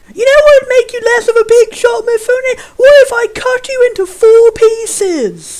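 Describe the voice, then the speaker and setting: Putting on a character voice at an extremely high pitch, a man speaks at a moderate pace with hardly any pauses. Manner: taunting, menacing.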